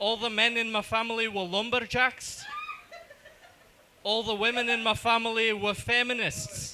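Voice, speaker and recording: At a moderate pace, a raised, projected voice delivers flat, monotone speech with long, frequent pauses amid noticeable background noise. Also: man, extremely high pitch for a man. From South Africa, Johannesburg. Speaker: stand-up comedian. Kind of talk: stand-up. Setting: stage with audience.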